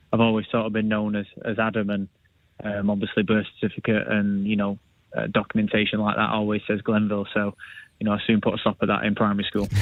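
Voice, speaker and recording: With a northern English accent, a man talks at a very fast pace. His fairly low voice stays monotone, with flat intonation. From northern England. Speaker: professional footballer. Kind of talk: radio interview.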